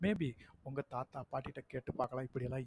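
The recording has a dry, close sound with no echo. A man speaks at a medium pitch, somewhat breathy, with ordinary pitch variation. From Tamil Nadu, Virudhunagar district village. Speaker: school principal. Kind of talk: personal storytelling podcast monologue. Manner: casual, unpolished village speech.

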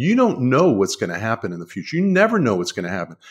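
Recorded very cleanly against a silent background, a man with an American accent swings his pitch very widely. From Washington, D.C. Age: 60s. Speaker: author and succession planning lawyer. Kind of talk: interview.

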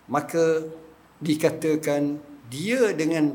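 Audible room echo accompanies very slow speech with ordinary pitch variation. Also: man. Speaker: religious teacher. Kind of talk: religious lecture. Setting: mosque prayer hall with audience. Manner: casual colloquial.

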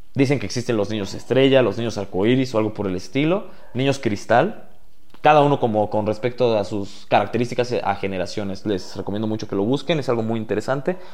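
Speaking at a fairly quick pace, a man uses a medium pitch with ordinary pitch variation. Audible room echo surrounds his voice. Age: 20s. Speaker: podcast host. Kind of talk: personal monologue.

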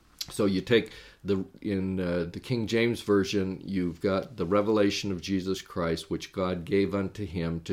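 In a very clean recording with a silent background, a man with a very deep, low pitch speaks at a moderate pace and fairly even intonation. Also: hardly any pauses. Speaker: religious podcast host, scripture teacher. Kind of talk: solo lecture-style scripture study podcast. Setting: recorded podcast with on-screen slides. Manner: frequent filler words (uh, um).

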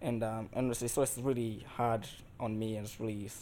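Here a man talks at a moderate pace with a dark, mellow tone. His pitch is medium and his intonation fairly even. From Tanzania. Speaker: engineering student. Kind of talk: casual chat. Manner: halting.

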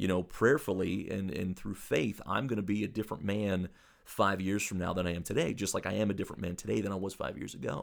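Very fast speech comes from a man with a very deep, low pitch, vocal fry and ordinary pitch variation. The recording is very clean with a silent background. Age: 40s. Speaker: preacher. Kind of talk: casual chat.

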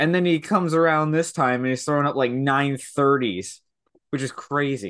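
A man's ordinary speaking voice, fairly high in pitch. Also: ordinary pitch variation, moderate pace. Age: 20s. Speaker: hockey podcast co-host. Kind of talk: casual chat.

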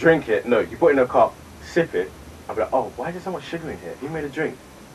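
Noticeable background noise sits under a man who talks at a very fast pace. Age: 20s. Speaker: podcast co-host, youngest sibling. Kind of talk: casual chat and movie review.

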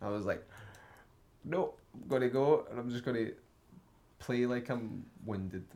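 Here a man speaks at a moderate pace and a medium pitch, with a dark, mellow tone. His pitch variation is ordinary, and he leaves long, frequent pauses. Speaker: band member. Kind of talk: casual chat.

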